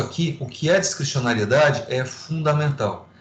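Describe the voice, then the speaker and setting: With audible room echo, a man talks at a moderate pace in a somewhat breathy, fairly high voice with ordinary pitch variation. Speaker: law professor. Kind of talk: lecture. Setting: online class via video platform.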